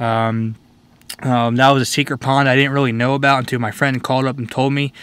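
At a fairly quick pace, a man speaks in a bright, sharp tone with monotone, flat intonation and a dry sound with no echo. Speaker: fishing vlogger. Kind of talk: casual vlog chat. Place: car. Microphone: phone near.

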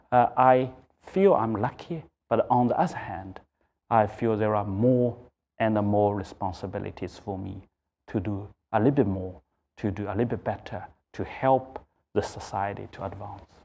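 Dark, mellow speech with a Chinese accent, moderate pace, ordinary pitch variation and long, frequent pauses. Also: man, fairly low pitch for a man. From China. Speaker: accounting firm executive; interviewee. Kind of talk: interview. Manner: halting. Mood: reflective, earnest. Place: office. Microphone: lapel.

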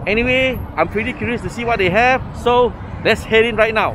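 A man's extremely high-pitched voice at a fairly quick pace, fairly even intonation, a dry sound with no echo and noticeable background noise. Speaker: food vlogger. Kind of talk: casual vlog chat. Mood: cheerful, curious. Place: market. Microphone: phone near.

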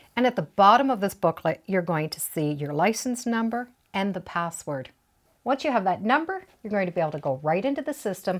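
Against a quiet background, a woman speaks at a fairly quick pace with very wide pitch swings. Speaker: quilting instructor. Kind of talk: tutorial. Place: home room.

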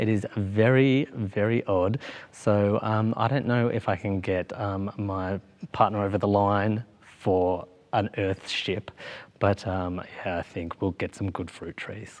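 A man with an Australian accent, very slow pace and fairly even intonation. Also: fairly low pitch for a man. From Australia, Victoria. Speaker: queer youth program manager; interview guest. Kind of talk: casual interview. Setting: studio with audience. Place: studio.

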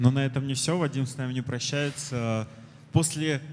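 This man speaks with a fairly high pitch. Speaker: conference organizer, moderator; moderator. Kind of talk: event moderation. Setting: stage with audience. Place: hall. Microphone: handheld.

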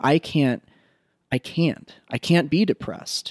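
Very slowly, a man speaks in a dry sound with no echo against a quiet background. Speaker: psychotherapist. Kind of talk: interview conversation. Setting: guest's home. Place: home room.

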